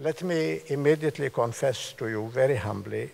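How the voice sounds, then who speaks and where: A man speaks with a somewhat breathy voice. His pace is moderate, with ordinary pitch variation. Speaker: guest lecturer. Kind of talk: lecture. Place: hall. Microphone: podium.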